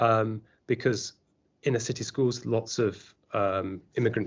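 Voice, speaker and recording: Medium in pitch, a man delivers his words in a monotone, flat intonation. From Yorkshire, England. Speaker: university lecturer. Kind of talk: podcast interview. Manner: halting, many fillers and restarts.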